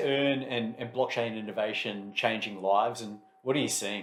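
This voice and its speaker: Moderately paced speech from a man against noticeable background noise. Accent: Australian. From Australia and New Zealand. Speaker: interviewer. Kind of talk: interview.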